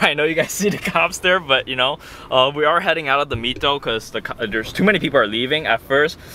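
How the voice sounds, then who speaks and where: A man with an American accent rattles along at a very fast pace, with noticeable background noise behind him. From New Jersey. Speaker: car vlogger. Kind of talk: casual vlog while driving. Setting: in a car.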